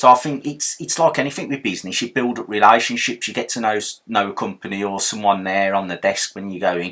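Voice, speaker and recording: In a very clean recording with a silent background, a man with a Birmingham accent speaks at a fairly quick pace with ordinary pitch variation. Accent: Brummie. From Birmingham, England. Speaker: silver pouring hobbyist youtuber. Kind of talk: tutorial. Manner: casual, repetitive with false starts.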